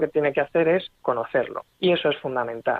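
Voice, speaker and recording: A woman's very deep, low voice at a fairly quick pace, with ordinary pitch variation. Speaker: railway engineer. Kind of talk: radio interview.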